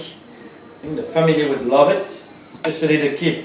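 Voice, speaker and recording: This man speaks at a moderate pace with a French accent and a fairly high pitch. Noticeable background noise and audible room echo fill the recording. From France. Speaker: pastry chef. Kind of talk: cooking tutorial. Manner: casual, chatty.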